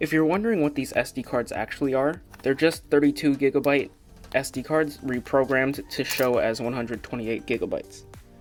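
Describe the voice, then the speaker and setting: Over music in the background, a man talks at a fairly quick pace with a fairly high pitch. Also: ordinary pitch variation. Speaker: product reviewer. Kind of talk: casual talk to camera.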